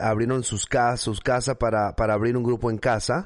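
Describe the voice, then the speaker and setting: A man speaks with a northern Mexican accent at a medium pitch. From northern Mexico, Mexicali, Baja California. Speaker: pastor and church planting network founder. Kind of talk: casual interview. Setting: video call.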